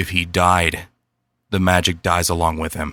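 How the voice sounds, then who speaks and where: A raspy, put-on character voice from a man, very deep and low in pitch, monotone and flat, at a moderate pace on a very clean recording with a silent background. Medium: read story.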